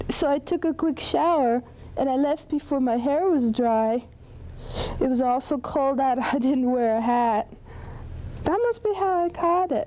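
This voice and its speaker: Speaking at a fairly slow pace with long, frequent pauses, the voice has lively intonation and very even loudness over noticeable background noise. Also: woman, high pitch for a woman. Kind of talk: interview question.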